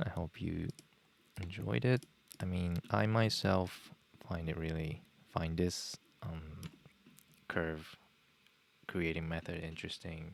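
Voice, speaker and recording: With a Japanese accent, a man speaks at a very slow pace in a very deep, low pitch, leaving long, frequent pauses. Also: ordinary pitch variation. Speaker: software tutorial streamer. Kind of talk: live tutorial. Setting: live stream. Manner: halting, many fillers.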